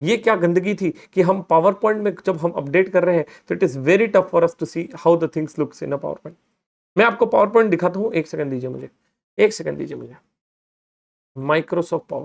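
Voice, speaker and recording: The tone is animated, with ordinary pitch variation. Loudness swings in big jumps. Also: man, high pitch for a man. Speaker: finance educator, chartered accountant. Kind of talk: recorded lecture, software tutorial. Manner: animated, conversational Hinglish.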